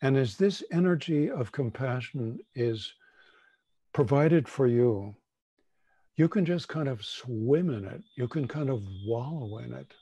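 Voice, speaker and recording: A somewhat breathy man's voice with a dark, mellow tone and lively intonation, set against a quiet background. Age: 70s. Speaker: shamanic teacher. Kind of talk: guided meditation.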